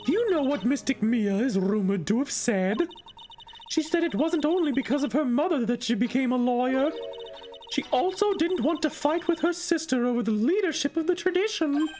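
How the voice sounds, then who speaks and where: This put-on character voice sits at a high pitch and moves at a fairly quick pace. Background noise comes through clearly. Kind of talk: streamer's put-on game voice. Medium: game stream. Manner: earnest, storytelling.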